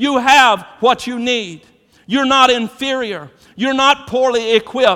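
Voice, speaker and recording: A man with an American accent speaks in a raised, projected voice at an extremely high pitch. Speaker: pastor. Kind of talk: sermon. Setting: church. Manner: animated, exhortative; repeats words when starting sentences.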